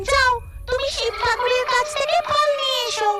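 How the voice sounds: A female-sounding cartoonish character voice squeaks out at an extremely high pitch. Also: moderate pace.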